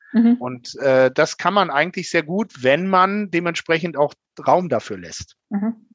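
A man's high-pitched voice, lively in intonation, at a fairly slow pace against a quiet background. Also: dry, close sound with no echo. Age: 40s. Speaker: bank manager. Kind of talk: interview.

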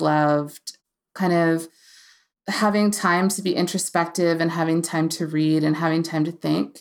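A woman with an American accent has an ordinary speaking voice, fairly low in pitch, at a moderate pace. Her intonation is fairly even, and the recording is very clean with a silent background. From US Appalachia, Virginia/West Virginia border. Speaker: novelist and former diplomat. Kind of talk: casual interview.

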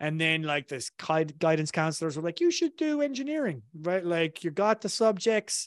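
Speaking with an Irish accent, a man uses a fairly high pitch. The sound is dry and close, with no echo. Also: very clean recording, silent background. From southern Ireland. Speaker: marketing consultant, former engineer. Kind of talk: casual interview chat. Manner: casual, filler-heavy.

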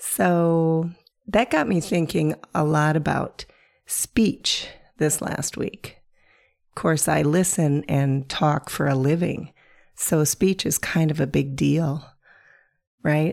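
Speaking at a very slow pace with long, frequent pauses, a woman uses a warm tone and a very deep, low pitch, with ordinary pitch variation. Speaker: podcast host. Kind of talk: casual monologue. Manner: warm, conversational.

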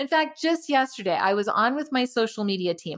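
A woman with an American accent speaks at a high pitch and a fairly quick pace. Her tone is animated and her intonation lively. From Arizona, US. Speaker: digital marketing expert. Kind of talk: interview conversation.

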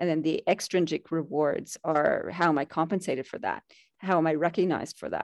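Against a quiet background with a dry, close sound with no echo, a woman with an ordinary speaking voice talks at a fairly quick pace in a fairly low pitch with fairly even intonation. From Canada. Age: 50s. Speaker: leadership mentor and author. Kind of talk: interview.

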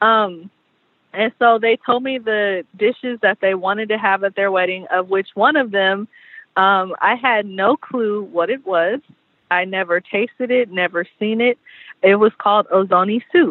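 With an American accent, a woman uses a normal speaking voice at a medium pitch, with ordinary pitch variation and a fairly slow pace. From Southern California. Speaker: chef and caterer. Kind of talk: casual interview.

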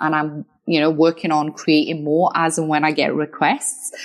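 A woman speaks with a slight Scottish accent in a fairly low pitch. The background is quiet. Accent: slightly Scottish. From Wales. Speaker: lawyer. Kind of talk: interview.

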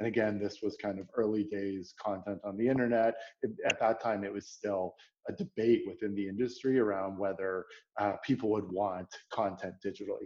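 At a moderate pace, a man talks in a normal speaking voice, fairly low in pitch, with fairly even intonation. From Canada, Toronto. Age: 30s. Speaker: product executive. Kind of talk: interview conversation.

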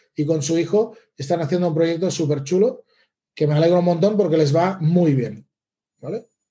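Speaking at a moderate pace, a high-pitched man with a dark, mellow tone shows ordinary pitch variation. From Catalonia, Spain (Lleida area). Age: 40s. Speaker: email marketing consultant. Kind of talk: interview.

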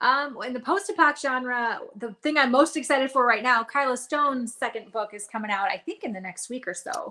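In a raised, projected voice with an American accent, a woman speaks at a high pitch and a fairly quick pace, her tone bright and sharp, her intonation lively and her loudness swinging widely. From Nevada, near Reno. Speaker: author, former radio DJ. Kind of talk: casual interview chat. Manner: upbeat, laughs often.

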